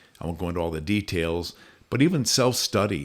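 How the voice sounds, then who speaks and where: In a very clean recording with a silent background, a man with a very deep, low voice speaks at a fairly quick pace. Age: 70s. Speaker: program founder. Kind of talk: podcast conversation.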